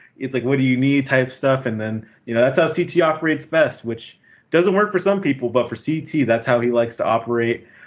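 A man speaks in a plain, everyday voice at a medium pitch with ordinary pitch variation. His pace is fairly quick, and the background is quiet. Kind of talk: casual chat. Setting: video call.

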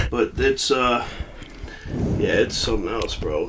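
A man speaks at a moderate pace. Noticeable background noise sits behind him. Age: 30s. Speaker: sports podcast host. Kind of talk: casual chat. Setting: studio, also streamed live on TikTok. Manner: animated.

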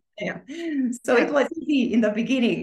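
A woman with a Romanian accent at a fairly quick pace. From Romania, Bucharest. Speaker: author and spiritual coach. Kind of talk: casual interview.

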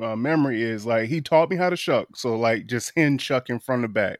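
Recorded very cleanly against a silent background, with a dry, close sound and no echo, a man with an American accent talks in an unremarkable speaking voice at a moderate pace, medium pitch and ordinary pitch variation. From Eastern Shore of Virginia. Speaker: oyster shucker and raw bar business owner. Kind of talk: casual interview chat. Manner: casual, lots of fillers (um, like).

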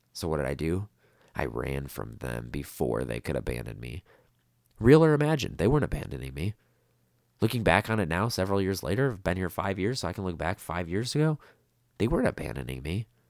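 This man talks very fast in an American accent, his very deep, low voice carrying vocal fry and very wide pitch swings. The recording is very clean, with a silent background. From US Midwest. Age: 20s. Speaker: podcaster with borderline personality disorder. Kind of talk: personal monologue. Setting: solo podcast recording. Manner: halting, with fillers and repetitions.

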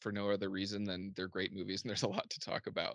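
The man has an American accent, a fairly low pitch and a bright, sharp tone, heard over a quiet background. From US Midwest, southern Indiana. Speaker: movie podcaster and color specialist. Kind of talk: casual chat. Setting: video call.

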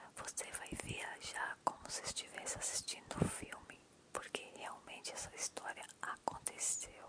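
Someone whispers in a soothing, gentle tone at a fairly slow pace over noticeable background noise. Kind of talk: whispered ASMR storytelling. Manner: whispering, hushed and soothing, intimate and unhurried; gentle, slow-paced, lulling, addressing listener directly.

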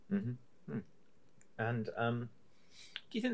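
The voice swings very widely in pitch. It carries a British accent at a moderate pace. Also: man. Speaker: podcast host. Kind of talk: casual interview.

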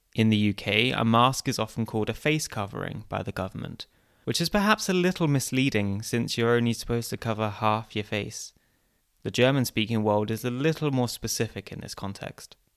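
A man's unremarkable speaking voice at medium pitch, fairly quick in pace, with ordinary pitch variation and a dry, close sound with no echo. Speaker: podcast host. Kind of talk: scripted narration.

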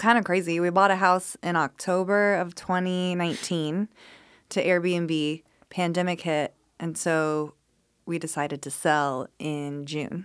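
Speaking at a fairly slow pace, a woman uses an unremarkable speaking voice with fairly low pitch and fairly even intonation. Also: very clean recording, silent background. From Colorado. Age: 30s. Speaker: real estate agent and jiu-jitsu competitor. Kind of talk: casual chat.

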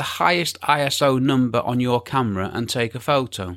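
A man's normal speaking voice at medium pitch and moderate pace, on a very clean recording with a silent background. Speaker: podcast host and photography teacher. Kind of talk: scripted-style educational podcast monologue. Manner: informal, conversational, explanatory.

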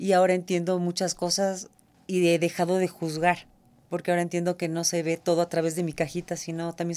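A woman speaks very fast in a fairly low, dark and mellow voice with monotone, flat intonation, recorded very cleanly against a silent background. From Ecuador. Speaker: shoe designer. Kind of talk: interview. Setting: studio.

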